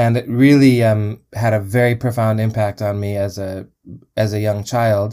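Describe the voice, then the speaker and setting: A man's fairly low, dark, mellow voice with an American accent, monotone, flat intonation and a moderate pace, in a very clean recording with a silent background. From US Midwest (Chicago). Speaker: musician. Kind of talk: interview. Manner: halting.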